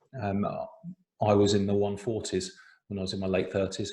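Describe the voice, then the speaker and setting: This voice has an English accent. It is somewhat breathy. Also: man. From England. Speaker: breathwork teacher. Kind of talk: online workshop.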